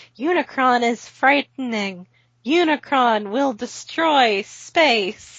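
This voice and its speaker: Putting on a character voice, a woman talks in a high pitch and at a very slow pace. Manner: ominous, frightening.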